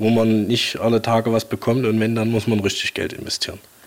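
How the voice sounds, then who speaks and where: Moderate-paced speech from a man at a medium pitch, noticeable background noise underneath. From Saxony, Leipzig. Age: 30s. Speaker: tractor collector. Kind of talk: casual interview. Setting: in his workshop.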